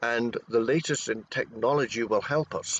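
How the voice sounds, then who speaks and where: A man speaks with a Scottish accent. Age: 60s. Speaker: cryptozoologist, expedition researcher. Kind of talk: interview. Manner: halting, repeats words.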